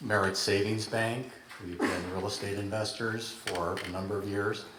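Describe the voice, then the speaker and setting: A man with an American accent speaks at a fairly low pitch and a moderate pace. Audible room echo and noticeable background noise fill the recording. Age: 60s. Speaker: city council candidate. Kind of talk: candidate forum answer.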